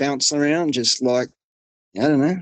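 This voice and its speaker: A man with an Australian accent, fairly high in pitch, with ordinary pitch variation and a dry, close sound with no echo. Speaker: hunter. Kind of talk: interview storytelling.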